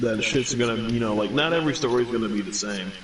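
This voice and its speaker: With audible room echo and noticeable background noise, a man with an American accent speaks at a moderate pace, his medium pitch showing ordinary variation. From US South, New Orleans. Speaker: gaming streamer. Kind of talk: casual chat.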